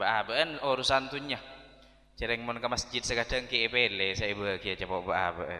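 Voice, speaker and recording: Medium pitch and a bright, sharp tone in a man's voice. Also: ordinary pitch variation, moderate pace. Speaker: Islamic preacher. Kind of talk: sermon.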